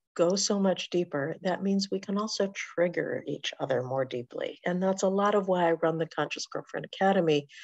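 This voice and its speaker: A woman with a medium pitch and ordinary pitch variation speaks at a moderate pace. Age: 60s. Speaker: relationship coach and educator. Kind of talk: direct-to-camera educational talk. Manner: warm, frank.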